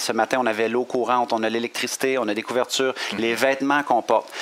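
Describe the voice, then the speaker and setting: A man with a Quebec accent talking at a very fast pace over noticeable background noise. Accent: Québécois French. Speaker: coach and motivational speaker. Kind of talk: interview. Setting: hotel. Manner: energetic.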